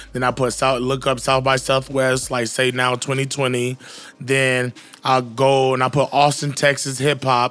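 Music plays in the background as a man with an American accent speaks at a medium pitch in a monotone, flat intonation. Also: moderate pace. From Queens, New York and Jacksonville, Florida. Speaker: podcast co-host, music event promoter. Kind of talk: casual chat.

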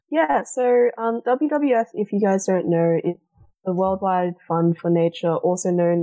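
In a dry, close sound with no echo, a woman with a dark, mellow tone and medium pitch speaks with lively intonation. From Australia. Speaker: wildlife conservation charity representative. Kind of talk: casual charity stream chat.

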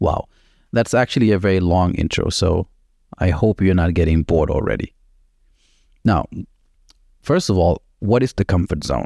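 In a dry, close sound with no echo, a man with a non-native accent speaks at a very deep, low pitch in a dark, mellow tone, keeping very even loudness between long, frequent pauses. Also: ordinary pitch variation, moderate pace. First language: not English. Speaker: solo podcast host. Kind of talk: motivational monologue. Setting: home kitchen. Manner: casual, filler-heavy.

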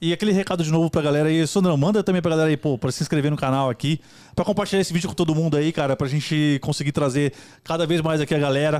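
Talking at a very fast pace, a man keeps a very even loudness and fairly even intonation at a fairly high pitch. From Brazil, São Paulo east zone (Itaquera). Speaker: podcast co-host. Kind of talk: casual chat.

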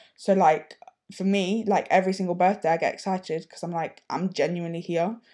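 The tone is dark and mellow. Delivery is fairly quick, with monotone, flat intonation. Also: woman, medium pitch for a woman. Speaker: podcast co-host. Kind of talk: casual chat. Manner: loud.

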